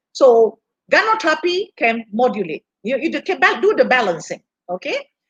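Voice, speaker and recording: A woman speaks high, with very wide pitch swings and a moderate pace. The sound is dry and close with no echo. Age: 60s. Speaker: health product speaker, former hospital worker. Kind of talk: livestream health seminar talk. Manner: halting, many fillers.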